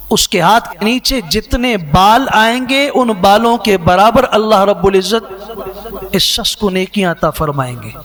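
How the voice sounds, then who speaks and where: Through noticeable background noise, a man speaks at a high pitch. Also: ordinary pitch variation. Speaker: Islamic scholar. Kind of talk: Islamic sermon (bayan) quoting hadith.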